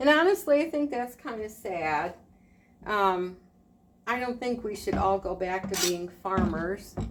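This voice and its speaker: Lively intonation from a woman at medium pitch and a fairly slow pace, against noticeable background noise. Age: 60s. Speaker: retired homemaker vlogger. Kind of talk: casual vlog talk while cooking. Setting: home kitchen. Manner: relaxed, conversational with filler words.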